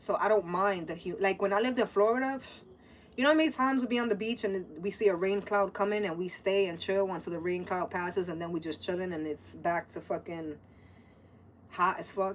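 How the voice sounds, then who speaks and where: In an American accent, a woman speaks animatedly at a fairly quick pace, with a medium pitch and ordinary pitch variation. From New York City (Brooklyn and the Bronx). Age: 30s. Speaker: livestreamer. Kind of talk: casual chat.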